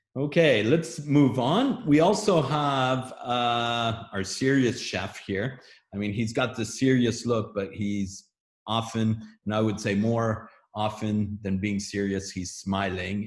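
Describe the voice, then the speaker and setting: Very slowly, a man with a somewhat breathy voice speaks at a medium pitch with ordinary pitch variation. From Germany. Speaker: webinar host. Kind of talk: webinar moderation.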